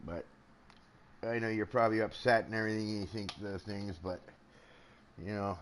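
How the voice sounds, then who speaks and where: With a Canadian accent, a man speaks in a fairly low pitch. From Canada. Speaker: gaming live streamer. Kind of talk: casual live commentary. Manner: chatty, hesitant with fillers.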